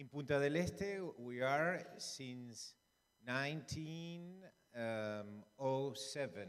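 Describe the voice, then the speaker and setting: At a very slow pace, a man in a Uruguayan accent speaks with big swings in loudness. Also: fairly high pitch for a man, lively intonation. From Uruguay, Maldonado. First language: Spanish. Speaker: lawyer and local storyteller. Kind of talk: public talk. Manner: halting.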